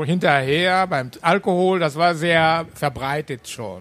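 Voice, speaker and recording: Speaking with a Japanese accent, a man uses a fairly high pitch with ordinary pitch variation. His pace is very slow. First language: Japanese (speaking German). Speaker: university Japan studies professor. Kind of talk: panel Q&A at live event.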